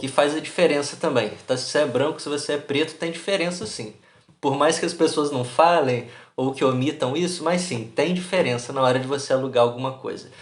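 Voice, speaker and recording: A man with a Brazilian accent, fairly high in pitch with ordinary pitch variation, at a fairly quick pace, in audible room echo. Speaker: YouTuber, immigrant vlogger. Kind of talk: casual vlog monologue. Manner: animated, colloquial.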